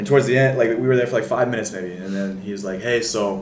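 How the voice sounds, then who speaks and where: This man talks at a very fast pace, medium in pitch, with ordinary pitch variation. Noticeable background noise and audible room echo fill the recording. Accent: American. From US Pacific Northwest, Seattle. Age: 20s. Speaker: college basketball player. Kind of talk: casual interview.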